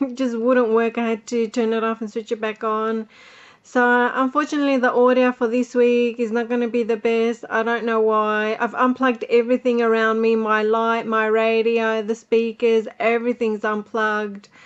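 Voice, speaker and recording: A woman in an Australian accent, fairly high in pitch, with monotone, flat intonation and hardly any pauses. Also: moderate pace. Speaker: podcaster and music producer. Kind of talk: casual podcast diary talk. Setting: home recording with buzzing noise.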